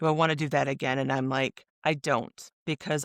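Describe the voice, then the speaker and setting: A woman with a Midwestern American accent talks in a very deep, low pitch with vocal fry. The sound is dry and close with no echo, and the recording is very clean against a silent background. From Michigan, USA. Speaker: author and podcaster. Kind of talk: interview answer.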